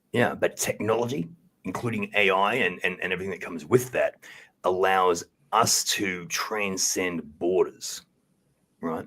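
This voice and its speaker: The speaker has an Australian accent and a bright, sharp tone. The pace is fairly slow. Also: man, fairly low pitch for a man, ordinary pitch variation. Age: 40s. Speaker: podcast guest. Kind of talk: interview.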